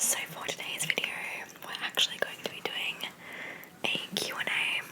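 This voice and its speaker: Noticeable noise sits behind a woman's whisper, which moves at a moderate pace. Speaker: ASMR creator. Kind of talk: casual ASMR Q&A ramble. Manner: whispered.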